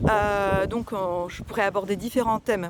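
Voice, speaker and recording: Over noticeable background noise, a woman speaks at medium pitch and a moderate pace with fairly even intonation. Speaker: personal development coach. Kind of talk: casual talk to viewers. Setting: outdoors, walking. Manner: hesitant, many fillers.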